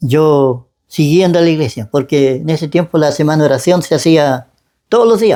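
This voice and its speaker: This man has a Chilean accent and a fairly high voice. He moves at a moderate pace with ordinary pitch variation. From Chile, Biobío region. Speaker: church member giving testimony. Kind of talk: testimony interview. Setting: at his home. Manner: halting.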